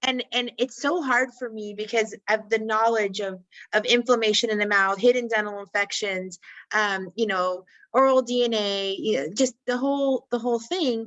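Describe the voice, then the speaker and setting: Using a plain, everyday voice, a woman with a fairly high pitch speaks at a moderate pace with ordinary pitch variation. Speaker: dental hygienist. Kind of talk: casual interview conversation.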